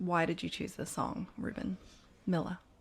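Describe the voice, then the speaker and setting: With a New Zealand accent, a woman speaks at a moderate pace in a medium pitch, her intonation fairly even. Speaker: radio host. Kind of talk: radio interview. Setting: radio studio.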